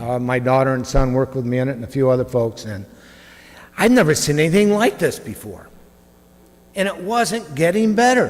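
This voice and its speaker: Amid noticeable background noise, a man with a fairly high pitch speaks at a moderate pace, making very wide pitch swings and long, frequent pauses. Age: 60s. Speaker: parishioner giving testimony. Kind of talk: testimony.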